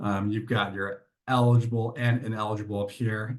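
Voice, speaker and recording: This man's medium-pitched voice is somewhat breathy, with fairly even intonation. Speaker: software vendor presenter. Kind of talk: product demo. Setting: webinar. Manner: fast.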